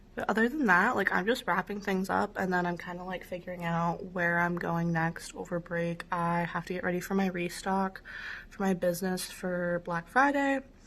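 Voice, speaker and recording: A woman with an American accent, medium pitch, ordinary pitch variation and a moderate pace. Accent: Pennsylvania, strong when home. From Pennsylvania. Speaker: vlogger, college student and small business owner. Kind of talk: casual vlog.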